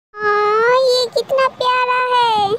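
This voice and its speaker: A put-on character voice from a woman, extremely high in pitch, with flat, monotone intonation. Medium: read story.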